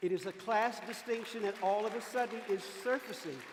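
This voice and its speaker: Against crowd noise in the background, the speech runs at a moderate pace with ordinary pitch variation. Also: man. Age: 70s. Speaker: civil rights activist, former Freedom Rider. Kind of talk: panel discussion. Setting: stage with audience. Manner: animated.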